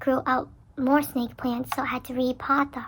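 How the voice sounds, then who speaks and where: At a moderate pace, a woman with a high pitch speaks with fairly even intonation. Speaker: vlogger. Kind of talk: casual vlog talk.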